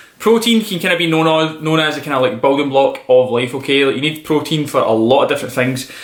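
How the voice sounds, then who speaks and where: With a strong Scottish accent, a man talks very fast at fairly high pitch with ordinary variation, amid noticeable background noise and audible room echo. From Scotland, Glasgow. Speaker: personal trainer. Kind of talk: casual vlog tutorial. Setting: outdoors, then indoors. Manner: casual, animated.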